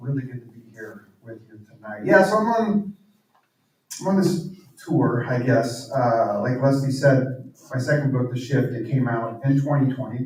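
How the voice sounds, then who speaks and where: A medium-pitched man's voice with lively intonation and big swings in loudness. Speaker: author and pastor. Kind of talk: talk to live audience. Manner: fast.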